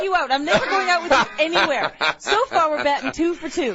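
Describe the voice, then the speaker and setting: A woman talks in an extremely high pitch with very wide pitch swings and a playful tone. There is noticeable background noise. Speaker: radio host, sidekick and news reader. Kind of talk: casual radio banter, telling an anecdote. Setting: radio studio. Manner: playful, teasing.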